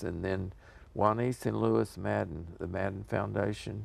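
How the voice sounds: A man's fairly low voice with vocal fry, fairly even intonation and a fairly slow pace.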